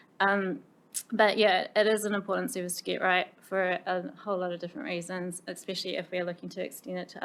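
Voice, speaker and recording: This speaker talks at a very fast pace with a New Zealand accent. The intonation stays fairly even. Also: woman. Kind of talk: committee meeting presentation. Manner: hesitant, many fillers.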